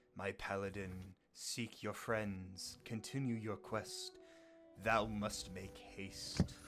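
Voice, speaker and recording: A man's put-on character voice, fairly low in pitch and very slow in pace, over faint music in the background. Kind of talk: archaic, formal.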